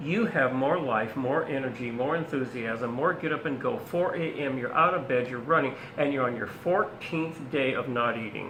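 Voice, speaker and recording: Audible room echo and noticeable background noise surround a man whose pitch is fairly high. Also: ordinary pitch variation, moderate pace. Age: 70s. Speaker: naturopath. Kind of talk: casual chat.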